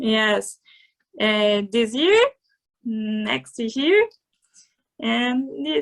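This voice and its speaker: Very slowly, a woman with a Portuguese accent speaks in a dry, close sound with no echo. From Brazil. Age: 20s. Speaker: MMA fighter. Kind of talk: interview. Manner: halting.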